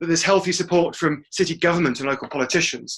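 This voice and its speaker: A man with an English accent talks at a very fast pace, his fairly high voice bright and sharp in tone. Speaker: webinar presenter. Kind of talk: webinar presentation. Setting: online webinar call.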